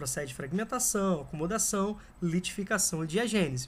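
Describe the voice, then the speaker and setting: A high-pitched man speaks with lively intonation and a bright, sharp tone. The recording is very clean, with a silent background. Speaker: geography teacher. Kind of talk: lecture. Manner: casual, conversational.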